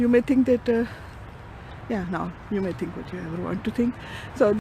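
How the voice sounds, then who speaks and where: Speaking at a moderate pace with a Punjabi accent, a woman's voice shows big swings in loudness. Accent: Punjabi-Urdu accent in English. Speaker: vlogger. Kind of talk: casual vlog monologue. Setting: outdoors, walking with camera. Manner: halting, many fillers.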